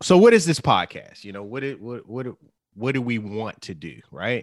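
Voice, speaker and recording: On a very clean recording with a silent background, a man at medium pitch speaks with lively intonation and big swings in loudness. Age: 40s. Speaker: podcast co-host. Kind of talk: casual chat. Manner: halting, many fillers.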